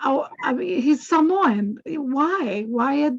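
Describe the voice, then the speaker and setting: The speaker is a woman. She has a Hawaiian accent. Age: 80s+. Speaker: activist. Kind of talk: testimony. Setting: video call.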